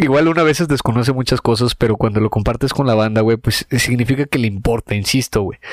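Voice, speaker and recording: A man's medium-pitched voice at a fairly quick pace, very even in loudness, with a dry, close sound and no echo. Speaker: comedy podcast co-host. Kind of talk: casual chat. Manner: animated.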